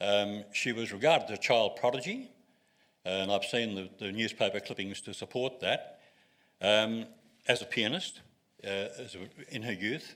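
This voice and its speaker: Big swings in loudness and a bright, sharp tone in an Australian accent, at a moderate pace with ordinary pitch variation and a very clean recording with a silent background. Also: man, medium pitch for a man. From Australia (Sydney). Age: 80s+. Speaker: retired wine writer. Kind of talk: public talk.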